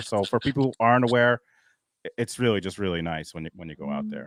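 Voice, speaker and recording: Very fast speech from a man with a New York accent, medium pitch and a dry, close sound with no echo. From Long Island, New York. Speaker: YouTube creator. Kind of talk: casual chat.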